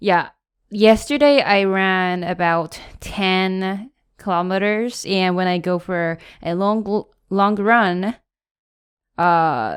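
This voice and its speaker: Speaking very slowly with long, frequent pauses, a woman with a Japanese accent keeps a medium pitch with ordinary variation on a very clean recording with a silent background. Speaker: podcast co-host. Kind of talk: casual chat. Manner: halting, searching for words.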